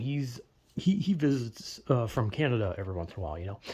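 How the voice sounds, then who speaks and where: A man's dark, mellow, somewhat breathy voice with very wide pitch swings. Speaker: vlogger. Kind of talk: casual monologue. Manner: halting, filler-heavy.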